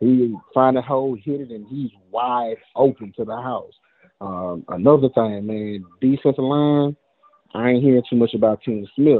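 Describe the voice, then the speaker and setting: A man at medium pitch and moderate pace, with ordinary pitch variation and big swings in loudness. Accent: Southern US. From Mississippi. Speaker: caller, football fan. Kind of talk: casual chat.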